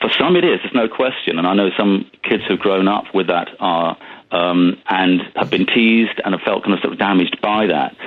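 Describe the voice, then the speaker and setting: A man with an English accent talks in a fairly low pitch with fairly even intonation. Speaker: speech and language therapist. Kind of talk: phone-in discussion. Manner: fast, jumbled speech; hesitant, many ums.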